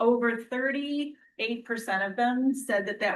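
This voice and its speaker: The voice here is a woman's. Its pitch moves with ordinary variation. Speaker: performing arts center manager. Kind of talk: budget presentation. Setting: public municipal meeting. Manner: fast.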